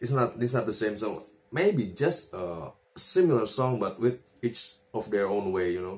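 A somewhat breathy man talks at a fairly slow pace with long, frequent pauses and ordinary pitch variation. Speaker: guitar player giving tips. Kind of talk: casual tutorial, video talk. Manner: halting, filler-heavy, repeats words; casual, self-deprecating. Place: home room. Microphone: phone near.

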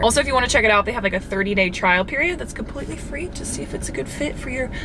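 A woman talks very fast amid noticeable background noise. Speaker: vlogger. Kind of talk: casual vlog chat with sponsor read. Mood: upbeat, cheerful. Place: car. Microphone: phone near.

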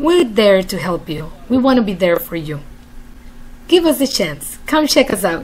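A woman at a fairly slow pace with very wide pitch swings. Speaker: emotional support host. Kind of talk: promotional direct address. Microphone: webcam.

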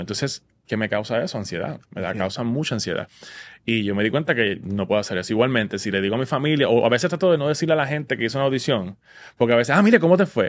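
Delivery runs at a very fast pace. The intonation is lively. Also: man. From Puerto Rico, Vega Baja; Puerto Rico. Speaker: Broadway musical theatre actor. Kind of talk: casual interview chat. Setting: studio. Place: studio. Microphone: studio mic.

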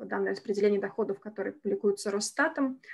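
A woman with a medium-pitched voice talks in a quiet background. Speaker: senior researcher. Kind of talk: academic presentation. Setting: video call. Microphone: video call.

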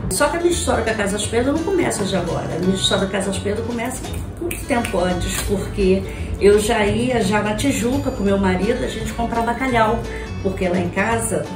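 A woman talks at a fairly quick pace with clear music in the background. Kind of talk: testimonial interview answer. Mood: warm, affectionate. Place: kitchen.

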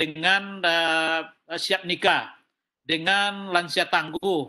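Over a quiet background, a man with a high pitch speaks very slowly in a monotone, flat way. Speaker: senior government official. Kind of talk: meeting address. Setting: video call. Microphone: video call.

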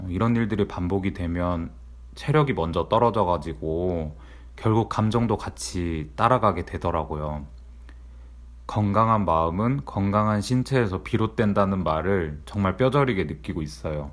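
With a very deep, low pitch and very wide pitch swings, a man speaks at a fairly slow pace in a very clean recording with a silent background. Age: 30s. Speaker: office worker vlogger. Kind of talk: personal vlog monologue.

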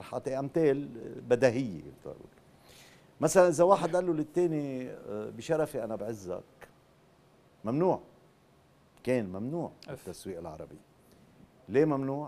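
A man with a dark, mellow tone and fairly high pitch speaks at a fairly slow pace. His intonation is lively, with long, frequent pauses and big swings in loudness. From Lebanon. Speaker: TV drama writer and producer; guest. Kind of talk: TV talk show interview. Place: studio. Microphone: lapel.

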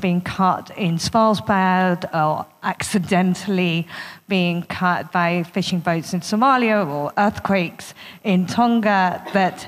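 Her pace is very slow. The woman's intonation stays fairly even. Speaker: panel moderator. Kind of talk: moderator introduction. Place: hall. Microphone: handheld.

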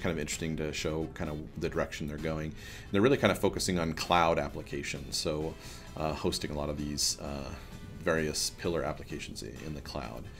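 Over clear background music, a man with a very deep, low voice talks at a fairly quick pace with fairly even intonation. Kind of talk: casual vlog chat. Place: office. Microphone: webcam.

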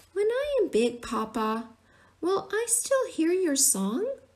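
A squeaky, extremely high-pitched put-on character voice at a fairly slow pace, with very wide pitch swings. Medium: read story. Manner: curious, questioning.

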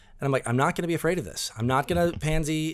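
Ordinary pitch variation shapes this man's speech. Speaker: podcast co-host. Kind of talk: casual podcast storytelling. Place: studio. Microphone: studio mic.

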